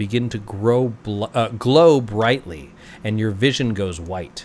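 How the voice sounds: The recording features a natural reading voice.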